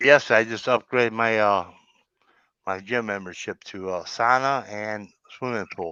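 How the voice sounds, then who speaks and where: Over a quiet background, a man with an American accent speaks at a fairly slow pace and a fairly low pitch. His tone is bright and sharp, with big swings in loudness. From US Midwest, Chicago. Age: 50s. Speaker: livestream chat guest. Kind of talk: casual chat. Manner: animated.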